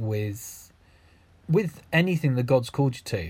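A somewhat breathy man's voice of medium pitch with lively intonation, on a very clean recording with a silent background. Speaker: podcast host. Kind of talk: casual chat.

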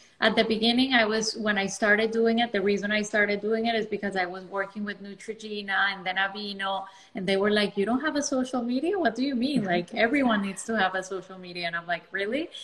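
Over noticeable background noise, a woman talks very fast with hardly any pauses, at a medium pitch with ordinary variation. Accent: non-native. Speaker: dermatologist. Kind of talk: casual interview.

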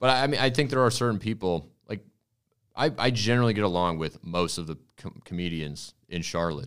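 The recording is very clean, with a silent background. A man talks at a fairly quick pace with very wide pitch swings. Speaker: comedian and improv teacher. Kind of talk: casual comedic banter.

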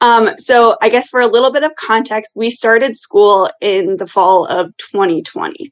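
A woman's plain, everyday voice with lively intonation, in an American accent. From US Midwest, Iowa. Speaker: brand consultant and business co-founder. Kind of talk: casual interview chat.

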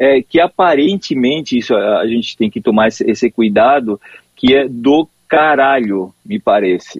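With a Spanish accent, a man talks at a fairly slow pace and medium pitch, his intonation lively. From Argentina, Corrientes. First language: Spanish (speaking Portuguese). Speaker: forensic expert. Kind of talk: phone interview. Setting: phone call. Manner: halting.

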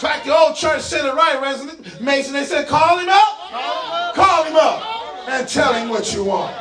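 Over music in the background, a man uses a raised, projected voice at an extremely high pitch, animated in tone and lively in intonation, at a fairly slow pace. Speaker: preacher. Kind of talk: sermon; preacher in full flow, call-and-response with congregation. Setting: church with congregation. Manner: animated, rhythmic, conversational asides with folksy humor; engaging the crowd with repeated calls for response.

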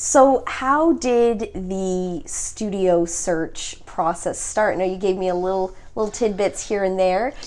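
With a Canadian accent, a woman talks at a fairly slow pace in an ordinary speaking voice. Her pitch is medium and varies in an ordinary way. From Ontario, Canada (Mississauga). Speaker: podcast host. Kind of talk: casual chat. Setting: guest's studio.

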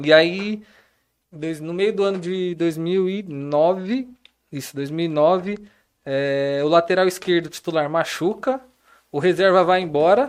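At a very slow pace with long, frequent pauses, a man speaks in a high pitch. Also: ordinary pitch variation. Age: 20s. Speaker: professional footballer. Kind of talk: casual interview chat.

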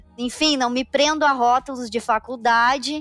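A woman with high pitch speaks at a moderate pace and with fairly even intonation. The sound is dry and close with no echo, though background noise is noticeable. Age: 20s. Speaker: tax accounting manager. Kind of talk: casual chat.

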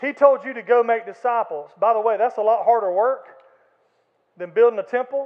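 Using an Alabama accent, a man speaks at a fairly quick pace with an extremely high pitch and ordinary pitch variation. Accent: Southern US (Alabama). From Florala, Alabama (US South). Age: 50s. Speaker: pastor. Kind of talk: sermon. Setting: church. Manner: animated.

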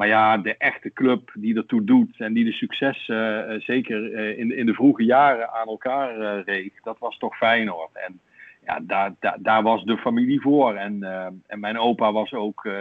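A man speaks at a fairly slow pace. His voice sits at a medium pitch. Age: 50s. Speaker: Feyenoord fan, podcast guest. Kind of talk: casual interview, reading aloud from a book.

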